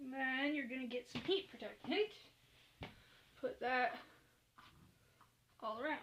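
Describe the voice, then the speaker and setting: A woman shouts loudly in a high voice, her intonation lively and her pace fairly slow. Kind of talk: casual hair tutorial talk to camera. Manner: loud, almost shouting.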